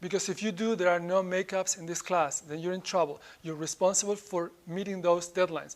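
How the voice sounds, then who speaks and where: At a fairly quick pace, a high-pitched man with a Spanish accent speaks in fairly even intonation. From Spain. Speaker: professor. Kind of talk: lecture.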